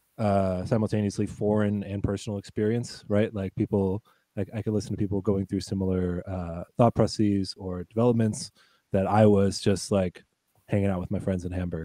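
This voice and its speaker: The voice has a dark, mellow tone and an American accent. It moves at a fairly quick pace with monotone, flat intonation. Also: man, fairly low pitch for a man, dry, close sound with no echo. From United States. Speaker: podcaster. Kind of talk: casual chat.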